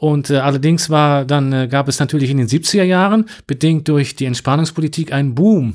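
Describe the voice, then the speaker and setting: Here is a man with an unremarkable speaking voice, a fairly high pitch and ordinary pitch variation. His loudness stays very even, and he has hardly any pauses. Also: moderate pace. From western Germany (North Rhine-Westphalia). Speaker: Russian language teacher. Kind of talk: interview.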